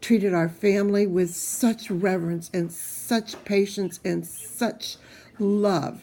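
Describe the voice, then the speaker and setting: Very slowly, a woman speaks in a dark, mellow, medium-pitched voice with fairly even intonation. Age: 60s. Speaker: cancer patient vlogger. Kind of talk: personal video diary.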